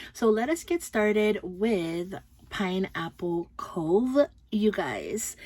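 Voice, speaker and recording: A woman speaks with a slight Filipino accent. Her fairly high voice has a dark, mellow tone. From Philippines. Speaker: beauty and fragrance YouTuber. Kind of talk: product review vlog. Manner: casual, hesitant with frequent ums.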